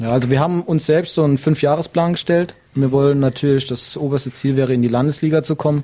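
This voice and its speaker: A man talks at a very fast pace in a dark, mellow tone with fairly even intonation. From Saarland, Germany. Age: 20s. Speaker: amateur football club chairman. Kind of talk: interview. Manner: hesitant, many fillers.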